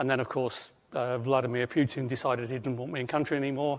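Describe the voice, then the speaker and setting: Very fast and in a monotone, flat intonation, a man speaks at a medium pitch. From Britain. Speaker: internal auditor and safety engineer presenting. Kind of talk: presentation to an audience. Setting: room with audience and online attendees.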